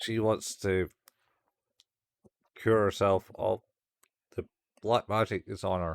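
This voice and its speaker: A man with a Scottish accent and a fairly low voice speaks at a very slow pace in a flat monotone, with long, frequent pauses and a dry, close sound with no echo. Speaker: podcast host. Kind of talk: casual chat.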